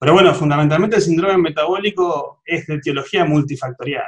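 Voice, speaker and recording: The speaker has an Argentine accent and ordinary pitch variation. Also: man. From Argentina. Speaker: cardiologist, genetics specialist. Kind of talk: interview.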